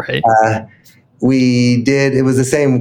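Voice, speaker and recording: An unremarkable speaking voice from a man with an American accent. His pitch is medium and his intonation fairly even. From Utah, Salt Lake City. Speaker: software entrepreneur. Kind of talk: interview.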